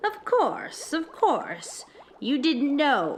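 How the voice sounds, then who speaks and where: The put-on character voice swings very widely in pitch. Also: female-sounding voice, high pitch for a woman. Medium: read story. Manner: cooing, falsely soothing.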